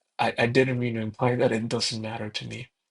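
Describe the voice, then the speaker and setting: A soft-spoken man talks at a fairly quick pace. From Mexico. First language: Spanish. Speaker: gaming video creator. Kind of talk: casual gameplay commentary. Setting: alone in own room. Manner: hesitant, many fillers.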